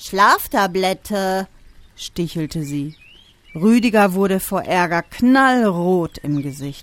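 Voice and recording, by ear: The voice is reading aloud in a natural way. Its intonation is lively.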